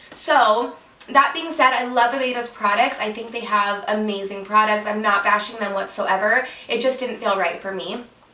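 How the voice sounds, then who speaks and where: A woman with a fairly high pitch speaks in an animated tone, with ordinary pitch variation and big swings in loudness. Noticeable background noise and audible room echo fill the recording. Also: moderate pace. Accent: American. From Utah. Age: 20s. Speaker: hairstylist and YouTuber. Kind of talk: casual Q&A vlog. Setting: at home, sitting on bed. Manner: chatty, animated.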